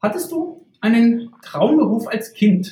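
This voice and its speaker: The man's voice shows ordinary pitch variation. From Saxony-Anhalt, Germany. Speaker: podcast host. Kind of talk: interview. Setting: virtual podcast studio. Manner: formal.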